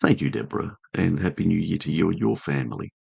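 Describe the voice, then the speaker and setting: A man puts on a croaky character voice with a very deep, low pitch. He talks at a very fast pace with lively intonation. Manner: warm, friendly.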